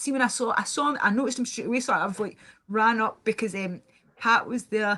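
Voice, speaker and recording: A woman's fairly high, bright and sharp voice in a Scottish accent, very fast and animated in tone. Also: quiet background. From Scotland. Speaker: live streamer. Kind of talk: casual chat. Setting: live stream.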